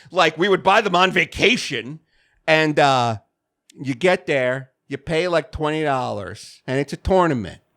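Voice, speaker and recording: A bright, sharp voice with a slight New York accent, lively intonation and a fairly slow pace, in a dry, close sound with no echo and a very clean recording over a silent background. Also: man, fairly high pitch for a man. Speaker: video game podcast co-host. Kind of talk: casual chat.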